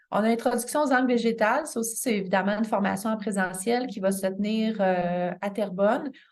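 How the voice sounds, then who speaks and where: A woman speaks at medium pitch, with audible room echo. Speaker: continuing education coordinator. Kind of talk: information session presentation. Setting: midday meeting with audience. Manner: halting, many fillers.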